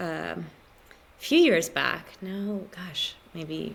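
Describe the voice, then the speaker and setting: At a very slow pace, a woman with an American accent speaks in a fairly low voice against noticeable background noise. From Florida, US. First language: Spanish. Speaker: ballet dancer. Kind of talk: interview.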